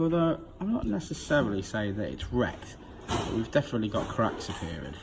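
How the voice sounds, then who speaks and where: Over noticeable background noise, a man with a medium pitch speaks with very wide pitch swings. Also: fairly quick pace. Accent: British. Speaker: car tuner. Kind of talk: casual talk to camera.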